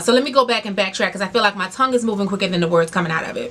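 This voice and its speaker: A loud woman's voice amid noticeable background noise. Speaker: beauty and lifestyle YouTuber. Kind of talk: casual vlog talk to camera. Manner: fast.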